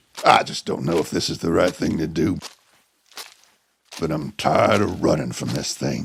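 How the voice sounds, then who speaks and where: Using a raspy, put-on character voice with very deep, low pitch, a man talks at a moderate pace with long, frequent pauses. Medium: audio drama.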